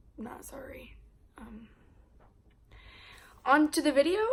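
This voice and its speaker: The speaker is a woman with a bright, sharp tone. Her pitch shows ordinary variation. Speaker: vlogger. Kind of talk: casual chat. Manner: animated.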